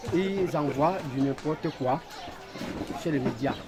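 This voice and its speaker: With noticeable background noise around him, a man talks very slowly. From Cameroon, Yaoundé. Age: 60s. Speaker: neighbourhood chief. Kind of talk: press interview. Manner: halting.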